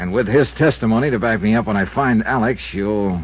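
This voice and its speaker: A man's fairly low voice at a moderate pace, with vocal fry and very wide pitch swings. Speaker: insurance investigator, lead character. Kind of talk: old-time radio drama, first-person narration.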